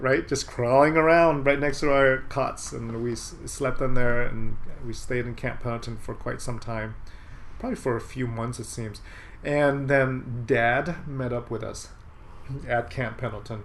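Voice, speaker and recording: Noticeable background noise and audible room echo fill the recording. Through them, a man speaks fairly slowly. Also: medium pitch for a man, fairly even intonation. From Southern California, Santa Ana. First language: Vietnamese. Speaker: medical doctor. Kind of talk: casual interview.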